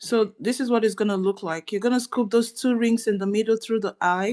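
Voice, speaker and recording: A soft-spoken woman at a fairly quick pace, her intonation fairly even. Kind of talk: tutorial. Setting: livestream from her dining room.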